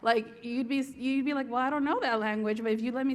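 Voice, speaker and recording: In an American accent, a woman talks at a very fast pace in a high, animated voice, with audible room echo. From Southern California, Norwalk near LA. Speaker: TV series creator and writer. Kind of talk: conference stage interview.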